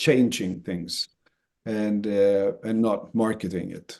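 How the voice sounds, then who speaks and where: In a Swedish accent, a man speaks at a very slow pace with a dark, mellow tone and a medium pitch. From Sweden. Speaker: association chief executive. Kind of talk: webinar interview. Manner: halting, many fillers and repeats.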